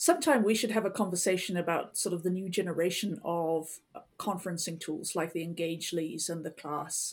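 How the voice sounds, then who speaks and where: A woman talks at a fairly quick pace with hardly any pauses, her pitch fairly low and its variation ordinary. It is an unremarkable speaking voice. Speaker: industry analyst. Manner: wry, sarcastic, pessimistic humor.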